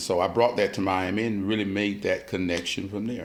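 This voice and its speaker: An American accent comes through at a fairly quick pace, with audible room echo around the voice. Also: man. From US South, Georgia Sea Islands. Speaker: artist and muralist. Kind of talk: interview.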